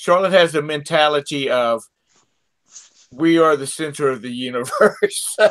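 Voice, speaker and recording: With a Southern US accent, a man speaks fairly slowly in a fairly high pitch, leaving long, frequent pauses as his loudness swings widely. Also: ordinary pitch variation. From South Carolina. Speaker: podcast guest. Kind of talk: casual chat.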